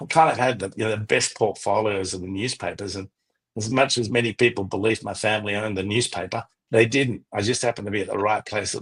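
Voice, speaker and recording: Against a quiet background, a man with an Australian accent speaks at a fairly quick pace. His pitch is fairly low and his intonation fairly even. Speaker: travel company founder, former journalist. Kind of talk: radio interview.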